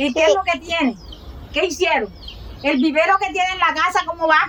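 Against noticeable background noise, a woman speaks with an extremely high pitch and lively intonation. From Colombian Caribbean, Montes de María. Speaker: rural teacher and community leader. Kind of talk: interview testimony.

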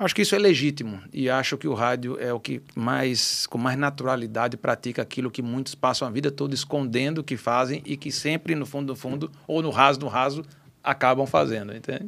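A man with a plain, everyday voice talks at a fairly quick pace and medium pitch, with ordinary pitch variation and hardly any pauses. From Natal, Rio Grande do Norte, Brazil (childhood in Rio de Janeiro). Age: 50s. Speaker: radio station director and businessman. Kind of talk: podcast interview.

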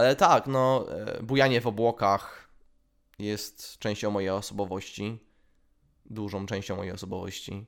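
A man's fairly low-pitched voice at a moderate pace, with fairly even intonation and long, frequent pauses, in a very clean recording over a silent background. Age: 20s. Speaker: podcast host. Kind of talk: solo monologue. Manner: halting.

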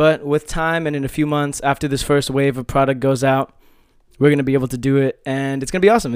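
Fairly quick and animated, a man speaks in a fairly high pitch. The sound is dry and close, with no echo. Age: 20s. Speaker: podcast host. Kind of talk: casual solo monologue.

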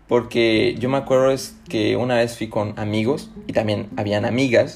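A man with a Chiapas Mexican accent speaks at medium pitch. His pace is fairly slow, with music in the background. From Mexico, Chiapas (Tuxtla Gutiérrez). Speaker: podcast host. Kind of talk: casual monologue. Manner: animated, laughing.

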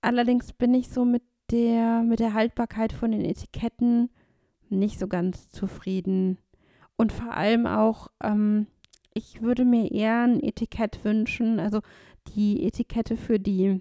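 A woman's fairly high-pitched voice with a dark, mellow tone, ordinary pitch variation and a moderate pace, on a very clean recording with a silent background. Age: 30s. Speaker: counselor for blind and visually impaired people. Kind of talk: casual chat.

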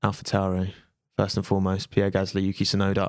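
A man in a British accent, recorded with a dry, close sound and no echo. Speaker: podcast host. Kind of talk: casual chat. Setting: studio. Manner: animated.

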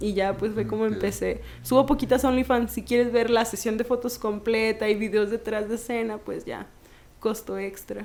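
A woman's fairly high, monotone voice with flat intonation, vocal fry, and a moderate pace. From Mexico, Jalpa. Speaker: model and feminist activist. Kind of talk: casual interview.

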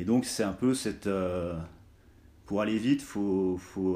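This man has a fairly low pitch and a dark, mellow tone. His pitch variation is ordinary. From France, Haute-Savoie (Arve valley, Cluses). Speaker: documentary filmmaker. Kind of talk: interview. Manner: hesitant, many filler sounds.

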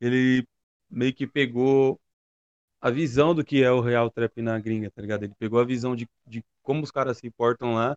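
Dry and close with no echo, a man's plain, everyday voice moves at a moderate pace, his medium pitch held in a fairly even intonation. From São Paulo east zone, Brazil. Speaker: trap rapper. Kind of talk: casual interview.

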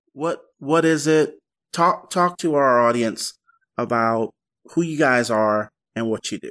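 The speech moves at a fairly slow pace with lively intonation and long, frequent pauses. The sound is dry and close, with no echo. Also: man, fairly high pitch for a man. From born near London, raised in US from small child. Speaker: podcast host. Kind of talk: casual interview chat. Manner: animated, repetitive false starts.

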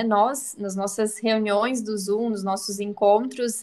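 Speaking at a moderate pace with a Santa Catarina accent, the voice keeps a fairly even intonation. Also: woman. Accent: Santa Catarina accent, noticeable. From Brazil, interior of Santa Catarina. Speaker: psychologist. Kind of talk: casual chat.

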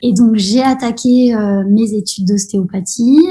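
A woman with a fairly high pitch talks in a somewhat breathy voice with a dark, mellow tone. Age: 30s. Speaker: osteopath. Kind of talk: casual interview. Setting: podcast interview.

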